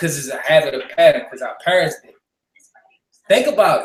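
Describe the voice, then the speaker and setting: A man is speaking. His tone is animated. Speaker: talk show host. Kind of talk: heated debate. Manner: loud.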